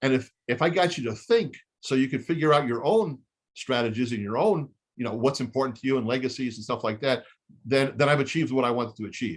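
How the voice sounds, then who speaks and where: A man's very fast delivery with ordinary pitch variation. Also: quiet background. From Israel. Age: 60s. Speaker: chemist and real estate investor. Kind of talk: webinar Q&A. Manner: halting.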